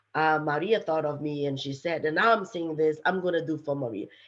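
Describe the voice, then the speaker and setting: Over a quiet background, a woman with a strong non-native accent and a very deep, low pitch speaks at a moderate pace with ordinary pitch variation. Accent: heavy foreign. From Brazil. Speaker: STEM executive, panelist. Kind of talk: panel discussion.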